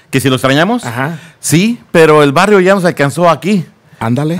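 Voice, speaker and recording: Here a man talks at a moderate pace. His tone is animated and his intonation lively. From Mexico (Naucalpan, State of Mexico). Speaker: police officer. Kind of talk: casual interview.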